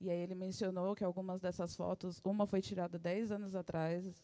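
A woman talks at a very fast pace in a dark, mellow tone. Her intonation is monotone and flat. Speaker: interpreter. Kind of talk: live interpretation. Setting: venue with live audience. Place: hall. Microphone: handheld.

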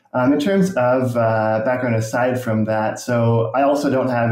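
A man's voice comes with audible room echo. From rural Nova Scotia, Canada. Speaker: YouTube urbanism creator. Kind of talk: casual interview. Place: home room.

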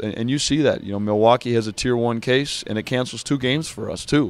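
A man talks at a fairly quick pace in a dry sound with no echo. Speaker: basketball head coach. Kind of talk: interview answer. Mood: earnest, slightly frustrated. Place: stadium. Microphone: handheld.

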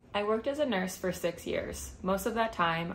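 Ordinary pitch variation and vocal fry come through over light background noise. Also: woman. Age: 20s. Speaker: cosmetology student, former nurse. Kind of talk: scholarship application video, prepared statement. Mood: earnest, warm. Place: home room. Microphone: webcam.

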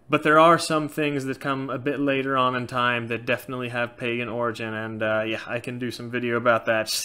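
This man talks at a fairly quick pace with hardly any pauses. His intonation stays fairly even. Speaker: YouTuber on Norse paganism. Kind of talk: casual Q&A monologue. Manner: frequent filler words, loosely halting. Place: home room. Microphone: webcam.

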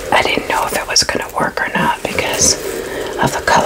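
A woman is whispering. Her voice stays hushed throughout. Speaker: ASMR creator. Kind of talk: casual rambling ASMR talk to camera. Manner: whispered. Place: home room. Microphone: studio mic.

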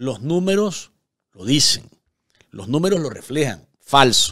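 Speaking at medium pitch and a fairly slow pace, a man has big pitch swings and a bright, sharp tone.

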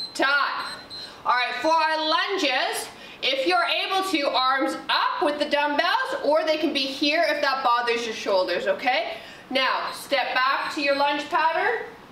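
A woman speaks at a fairly slow pace in a raised, projected voice. Light background noise and audible room echo are present. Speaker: fitness instructor. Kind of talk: workout instruction. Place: gym.

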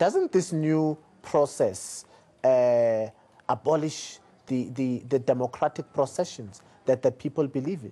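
A man's dark, mellow tone carries ordinary pitch variation as he goes at a fairly slow pace. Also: fairly high pitch for a man. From South Africa. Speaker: interview show host; TV interviewer. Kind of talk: political interview. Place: studio.

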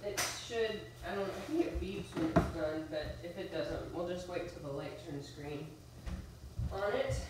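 Amid audible room echo, a woman speaks at a fairly low pitch and a fairly slow pace with lively intonation.

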